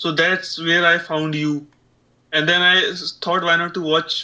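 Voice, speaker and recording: A man's high voice, bright and sharp in tone, with a strong Indian accent and monotone, flat intonation. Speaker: aspiring streamer. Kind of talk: casual chat. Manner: halting.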